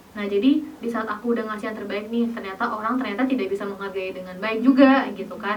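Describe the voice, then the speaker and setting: Over noticeable background noise and audible room echo, a woman with a fairly high pitch talks at a very fast pace with hardly any pauses and fairly even intonation. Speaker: beauty pageant finalist. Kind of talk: casual podcast interview.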